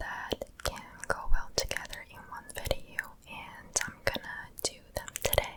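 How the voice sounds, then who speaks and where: Noticeable background noise fills the recording. Through it comes whispering at a fairly slow pace. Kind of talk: ASMR whispered comment reading. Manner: whispered, soft-spoken.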